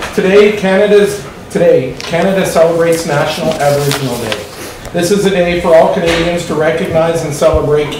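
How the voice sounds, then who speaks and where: Over noticeable background noise and audible room echo, a man talks in a high pitch at a moderate pace with fairly even intonation. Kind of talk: formal meeting opening statement. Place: meeting room.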